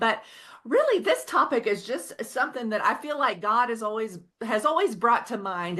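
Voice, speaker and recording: A woman speaks with a slight Oklahoma accent and a bright, sharp tone at a fairly high pitch. Her intonation is lively, and the background is quiet. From Oklahoma, Osage County. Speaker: author. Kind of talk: podcast interview.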